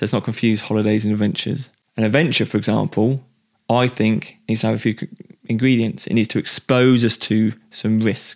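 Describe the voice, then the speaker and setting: A man with an unremarkable speaking voice talks at a fairly quick pace and medium pitch, his loudness very even and his intonation fairly even. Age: 30s. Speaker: podcast host and coach. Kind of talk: solo podcast monologue.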